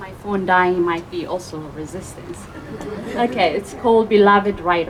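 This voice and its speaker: A woman with a non-native accent at a medium pitch, with audible room echo and noticeable background noise. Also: ordinary pitch variation, moderate pace. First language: not English. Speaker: open mic poet. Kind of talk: poetry reading. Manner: halting.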